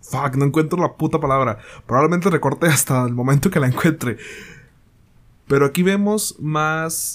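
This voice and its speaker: This man speaks at a moderate pace with long, frequent pauses. His pitch is fairly high, with ordinary variation. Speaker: solo podcast host reviewing films and series. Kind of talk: casual solo monologue review. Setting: home recording in bedroom. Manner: halting, hesitant with restarts.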